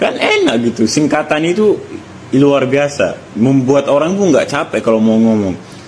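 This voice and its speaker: Over noticeable background noise, a man's fairly high voice swings very widely in pitch. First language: Arabic (speaking Indonesian). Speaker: content creator. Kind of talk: casual vlog monologue. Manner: animated.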